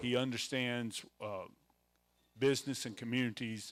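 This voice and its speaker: On a very clean recording with a silent background, a man with a Mississippi accent speaks in a monotone, flat intonation, the sound dry and close with no echo. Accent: Southern US (Mississippi). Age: 60s. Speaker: event emcee. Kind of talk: event introduction. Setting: room with live audience. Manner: halting, many fillers.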